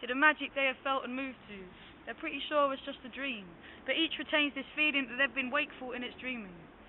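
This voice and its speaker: Her pitch high and her intonation fairly even, a woman talks at a very fast pace with big swings in loudness. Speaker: rapper, poet and playwright. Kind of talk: spoken word poetry performance, story synopsis.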